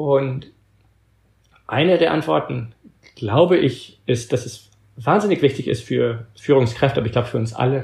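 A man speaks at a moderate pace with vocal fry. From Belgium. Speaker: author and organizational thinker. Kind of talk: interview. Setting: long-distance remote call. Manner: halting, occasional stumbles.

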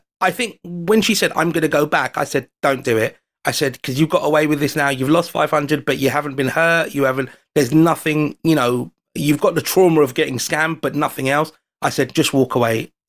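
Someone talks in a London accent at a fairly quick pace. Their pitch variation is ordinary. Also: man, fairly high pitch for a man. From London, England. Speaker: foreign correspondent and amateur magician. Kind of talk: casual chat. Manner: animated storytelling.

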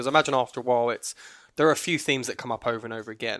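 Speaking at a very fast pace with a British accent, a man has medium pitch and ordinary pitch variation in a very clean recording with a silent background. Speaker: podcast co-host. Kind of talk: casual chat.

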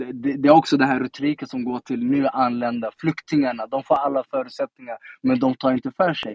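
A man's plain, everyday voice at a medium pitch and fairly quick pace, with fairly even intonation. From Sweden, Stockholm (Tensta). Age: 30s. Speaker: politician. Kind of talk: casual interview. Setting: live audio room (Clubhouse).

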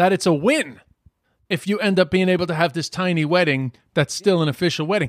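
This man talks at a fairly quick pace with a high pitch and ordinary pitch variation. The recording is very clean, dry and close, with a silent background and no echo. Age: 40s. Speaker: podcast host. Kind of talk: casual chat.

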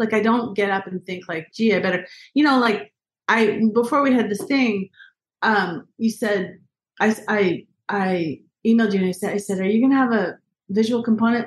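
The woman's voice is somewhat breathy and fairly high in pitch. She keeps a moderate pace. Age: 50s. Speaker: journalist and author. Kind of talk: interview.

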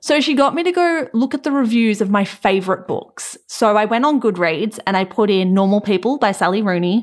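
A woman's fairly high-pitched, plain, everyday voice with lively intonation and hardly any pauses. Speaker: podcaster. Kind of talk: casual chat.

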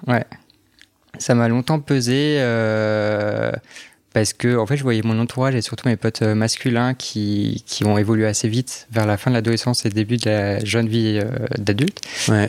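A man speaks at a moderate pace with very even loudness. His intonation is fairly even. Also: medium pitch for a man. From France, Alsace (Strasbourg). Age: 20s. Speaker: podcast guest sharing his experience. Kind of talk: personal testimony interview. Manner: halting, many fillers.

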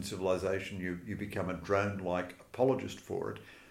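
In an Australian accent, a man talks at a fairly quick pace with fairly even intonation. His pitch is fairly low, and audible room echo surrounds it. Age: 60s. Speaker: journalist and author. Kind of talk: interview.

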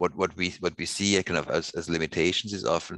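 Vocal fry runs through a man's bright, sharp tone as he speaks at a fairly quick pace, the sound dry and close with no echo. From Switzerland, Basel. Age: 50s. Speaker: sustainability researcher. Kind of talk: interview.

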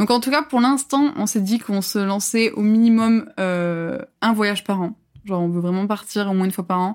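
A woman talks at medium pitch and a moderate pace, her pitch varying in an ordinary way. The recording is very clean and the background silent. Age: 20s. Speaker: work-study student in video production. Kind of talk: casual interview chat. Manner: hesitant, many fillers.

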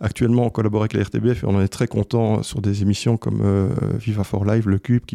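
Dry and close with no echo, a man talks at a fairly quick pace in a dark, mellow tone, with fairly even intonation and a fairly low pitch. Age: 40s. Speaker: sound engineer and business owner. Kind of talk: interview. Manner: hesitant with fillers.

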